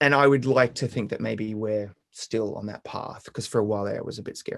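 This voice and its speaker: A man talks with an Australian accent. His pitch is medium and his pace fairly quick. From Brisbane, Australia. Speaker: singer-songwriter. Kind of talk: interview answer.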